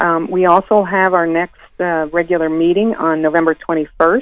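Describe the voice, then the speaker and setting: This is a woman with a normal speaking voice. Her pitch is fairly low and her intonation fairly even. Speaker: local party organizer. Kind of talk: radio interview.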